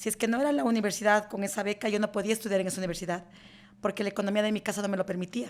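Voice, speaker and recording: The very clean recording with a silent background carries a woman speaking at a medium pitch. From Ecuador, rural Chimborazo highlands. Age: 50s. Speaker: lawyer and law firm CEO. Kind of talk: interview. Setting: in-person interview in an office.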